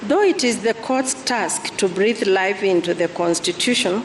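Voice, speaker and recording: A woman with lively intonation over noticeable background noise. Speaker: deputy chief justice. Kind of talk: court judgment reading. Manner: soft-spoken.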